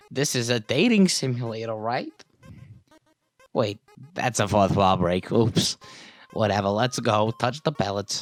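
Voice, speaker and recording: A man's put-on character voice at medium pitch and a moderate pace, with long, frequent pauses. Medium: game stream. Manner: fake friendly.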